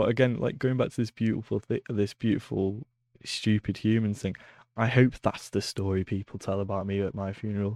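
A man with a Lancashire accent at a fairly low pitch, fairly quick and fairly even in intonation, in a dry, close sound with no echo and a quiet background. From northern England, Preston. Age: 20s. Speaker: podcast host. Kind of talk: casual chat. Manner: halting.

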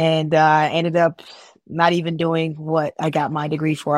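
Someone with an American accent speaks in a flat monotone on a very clean recording with a silent background. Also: woman. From Chicago, US Midwest. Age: 20s. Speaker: insurance agent and community organizer. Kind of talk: casual interview chat.

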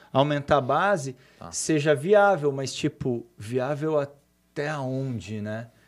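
A man speaks at a very slow pace, his pitch fairly high for a man. The recording is very clean, with a silent background. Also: lively intonation, big swings in loudness. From Brazil, São Paulo state (Cosmópolis). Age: 40s. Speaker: entrepreneur. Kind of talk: casual interview chat.

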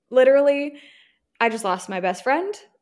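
A woman speaks with an American accent. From Virginia. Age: 20s. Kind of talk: testimony.

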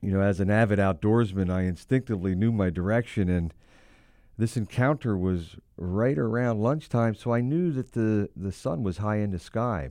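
A man with an American accent uses a normal speaking voice at a fairly low pitch and moderate pace. His pitch varies in an ordinary way over a quiet background. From Pennsylvania, Hershey. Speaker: ministry founder. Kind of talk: testimony. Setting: studio.

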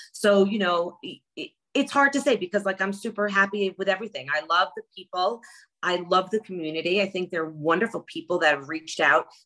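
In a New York accent, the speaker's bright, sharp, animated tone moves at a fairly quick pace with lively intonation. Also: woman, medium pitch for a woman. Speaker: reality TV contestant. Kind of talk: casual interview.

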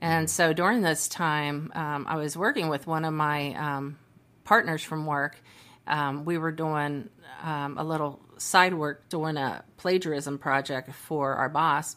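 In a very clean recording with a silent background, a woman with a Midwestern American accent talks at a fairly slow pace, her pitch very deep and low and her intonation fairly even. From US Midwest, Cincinnati, Ohio. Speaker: mediator and arbitrator. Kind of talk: casual interview.

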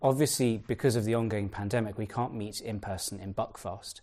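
This man talks at a fairly quick pace in a dark, mellow tone. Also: quiet background. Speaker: event organizer. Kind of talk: formal introduction. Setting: video call.

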